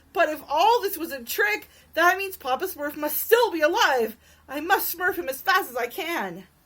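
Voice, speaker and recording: A woman puts on a whiny character voice at an extremely high pitch, speaking at a moderate pace. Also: lively intonation. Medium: read story.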